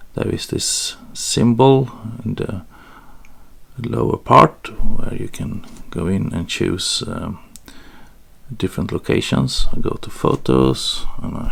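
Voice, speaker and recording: A man with a Swedish accent, at a very slow pace, with long, frequent pauses. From Sweden. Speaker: photography tutorial creator. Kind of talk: tutorial. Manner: hesitant, with fillers.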